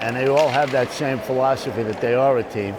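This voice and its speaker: With noticeable background noise around him, a man talks at a medium pitch, his pitch varying in an ordinary way. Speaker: war veteran; retired police lieutenant. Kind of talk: interview answer.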